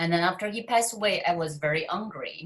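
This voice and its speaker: A woman speaks with a Chinese accent. Her pitch is fairly low. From China. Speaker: author and success coach. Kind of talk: interview.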